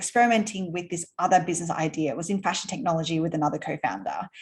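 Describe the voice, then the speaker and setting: A woman with an Australian accent sounds somewhat breathy, using ordinary pitch variation. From Australia, Sydney. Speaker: entrepreneur. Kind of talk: interview. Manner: casual, with many fillers.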